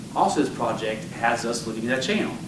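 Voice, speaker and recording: A man talks at medium pitch. There is noticeable background noise and audible room echo. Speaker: engineer. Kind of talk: public presentation. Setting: public meeting with audience. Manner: fast; animated.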